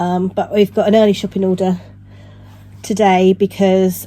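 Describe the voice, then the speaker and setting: Here a woman speaks with a British accent at medium pitch. Background noise is noticeable. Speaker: knitting vlogger. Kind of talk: vlog. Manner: casual, hesitant.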